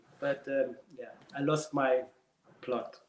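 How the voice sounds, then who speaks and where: A man speaks with a German accent. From Germany. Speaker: ballroom dancer and dance teacher. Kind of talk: casual interview chat. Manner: animated storytelling with repetitions.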